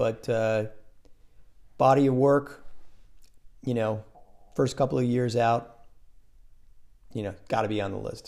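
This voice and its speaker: Fairly even intonation at a fairly slow pace, with long, frequent pauses. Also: man, medium pitch for a man. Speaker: podcast guest, host's father. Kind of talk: casual chat.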